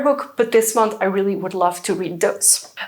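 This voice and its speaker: A woman speaks at a moderate pace with a Flemish Belgian accent over noticeable background noise. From Belgium (Dutch-speaking). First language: Dutch. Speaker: book vlogger. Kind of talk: casual vlog talk. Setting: at home by bookshelves.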